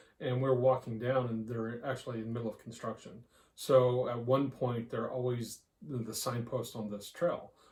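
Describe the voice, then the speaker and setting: A man speaks at a medium pitch with a slight Southern US accent. His voice is somewhat breathy. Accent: slight Southern drawl. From Texas, US. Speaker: podcast co-host. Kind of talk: casual chat.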